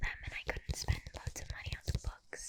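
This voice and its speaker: A woman whispers. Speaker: ASMR creator. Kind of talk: ASMR show and tell. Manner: whispered; casual, chatty.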